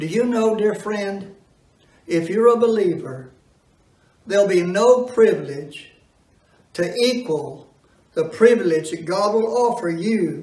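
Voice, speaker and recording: In a room with audible echo, a man with a high pitch speaks at a very slow pace, with long, frequent pauses and ordinary pitch variation. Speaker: preacher. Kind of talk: sermon. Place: church.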